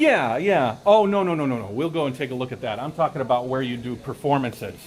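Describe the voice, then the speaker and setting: Speaking very fast with an American accent, a man uses lively intonation at a medium pitch, with noticeable background noise and audible room echo. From United States. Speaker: travel YouTuber and tour host. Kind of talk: live-stream tour commentary. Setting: outdoors at a temple. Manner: loud; casual, with fillers and repetitions.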